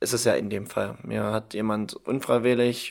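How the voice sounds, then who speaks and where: Against a silent background, this very clean recording captures a man talking. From Saxony-Anhalt, Germany (Halberstadt). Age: 20s. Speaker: insurance trainee. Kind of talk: casual chat.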